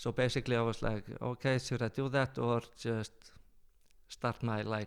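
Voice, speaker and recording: The speaker has an Icelandic accent and fairly even intonation. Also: man. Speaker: travel company owner. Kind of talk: podcast interview answer.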